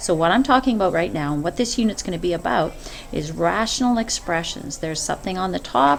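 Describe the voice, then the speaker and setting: Noticeable background noise sits behind a woman talking at a fairly quick pace. Her fairly low voice moves in very wide pitch swings. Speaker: math teacher. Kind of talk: screencast lesson. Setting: screen recording. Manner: hesitant, many fillers; fast.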